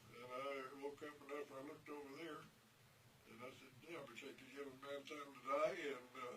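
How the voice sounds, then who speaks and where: Flat, monotone intonation at a moderate pace, with big swings in loudness and noticeable background noise. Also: man, fairly high pitch for a man. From New Mexico. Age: 80s+. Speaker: World War II veteran. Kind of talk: interview answer.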